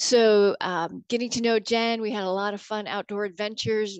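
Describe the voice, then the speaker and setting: This woman has an ordinary speaking voice with an American accent. Her pitch is fairly high and her pace moderate. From Arizona, Yuma. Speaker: park ranger. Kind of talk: casual interview.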